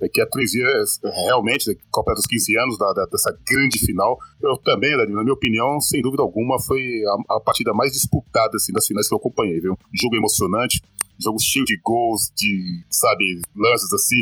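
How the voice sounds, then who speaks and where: A man talks at a moderate pace with very even loudness, the sound dry and close with no echo and noticeable background noise behind him. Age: 40s. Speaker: football podcast co-host. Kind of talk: casual chat.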